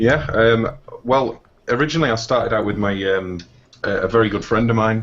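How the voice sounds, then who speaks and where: A man with an English accent speaks fairly quickly at a medium pitch, with ordinary pitch variation. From northeast England. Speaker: indie game developer. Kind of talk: interview. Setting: live stream.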